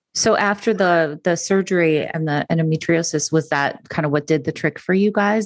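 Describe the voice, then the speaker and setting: A woman with a plain, everyday voice speaks at a moderate pace, her fairly low pitch and fairly even intonation heard in a dry, close sound with no echo. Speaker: podcast host. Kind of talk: podcast interview question.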